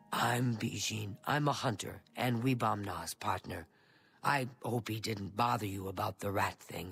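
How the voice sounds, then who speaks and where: Delivered at a moderate pace, a put-on character voice comes through on a very clean recording with a silent background. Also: man, fairly low pitch for a man. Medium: video game. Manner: chatty.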